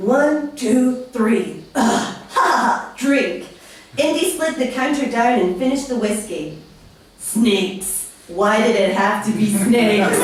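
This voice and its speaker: A woman speaks very slowly at a fairly high pitch, her loudness very even. Noticeable background noise sits behind her. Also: lively intonation. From Scotland. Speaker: comedian. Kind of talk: comedic fanfiction reading. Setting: live comedy stage.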